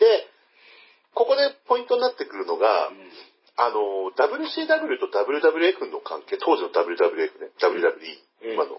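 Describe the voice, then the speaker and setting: At a very slow pace, a man speaks with big swings in loudness. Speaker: pro wrestling fan commentator. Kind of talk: casual chat.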